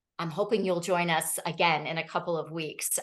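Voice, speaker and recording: A woman speaks fairly slowly at a fairly low pitch, in a plain, everyday voice. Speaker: trauma-informed care trainer. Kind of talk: webinar presentation.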